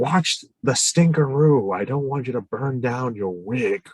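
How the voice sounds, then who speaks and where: Someone talks in a put-on character voice at a fairly slow pace. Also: man, medium pitch for a man. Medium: stage play. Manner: gruff, cranky, cussing.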